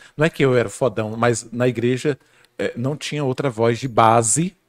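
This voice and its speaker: In a very clean recording with a silent background, a man talks at a moderate pace in a medium pitch, his intonation lively and his voice carrying vocal fry. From Bahia, Brazil. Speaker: guest speaker on philosophy. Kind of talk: casual podcast conversation.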